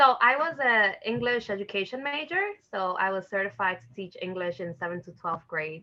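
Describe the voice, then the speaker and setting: This woman has a New York accent. She keeps her speech at a moderate pace. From New York City, the Bronx (Dominican family). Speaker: educator, parent engagement facilitator. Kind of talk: interview. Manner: casual, many filler words.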